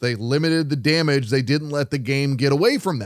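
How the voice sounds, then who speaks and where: This man has an ordinary speaking voice, pitched fairly high. He talks at a fairly quick pace with ordinary pitch variation. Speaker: sports radio host. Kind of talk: post-game sports radio show recap and analysis. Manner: conversational, analytical.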